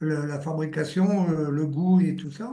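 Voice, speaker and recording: Male voice, dark and mellow in tone. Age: 70s. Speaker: patient giving testimony, retired confectionery worker. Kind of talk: testimony. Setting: live video stream.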